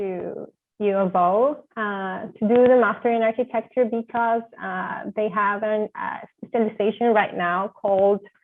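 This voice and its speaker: A woman with a Spanish accent speaks fairly slowly at a fairly high pitch with fairly even intonation. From Venezuela. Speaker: architecture graduate student. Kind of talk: interview. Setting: video call.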